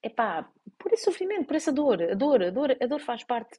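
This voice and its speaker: Her European Portuguese accent clear, a woman talks at a fairly quick pace with very wide pitch swings. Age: 40s. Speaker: life coach and podcast host. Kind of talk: solo podcast monologue. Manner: halting, many fillers and restarts.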